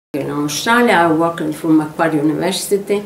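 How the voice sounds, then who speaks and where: With a Sicilian accent, a woman talks at a fairly low pitch with ordinary pitch variation. Audible room echo surrounds her voice. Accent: Italian (Sicilian). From Sicily, Italy. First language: Italian. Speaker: former primary school teacher. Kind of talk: oral history interview answer. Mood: warm, cheerful. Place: home room.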